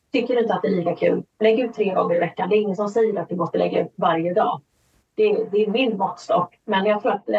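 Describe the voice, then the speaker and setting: This woman speaks at a very fast pace and a medium pitch. Her voice is somewhat breathy, with ordinary pitch variation. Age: 40s. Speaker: author and audiobook narrator. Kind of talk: interview.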